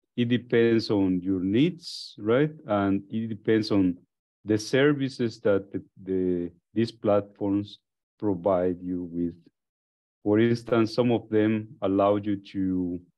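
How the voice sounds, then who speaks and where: A man's fairly low voice at a very slow pace, ordinary pitch variation, quiet background. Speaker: course instructor. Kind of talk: lecture.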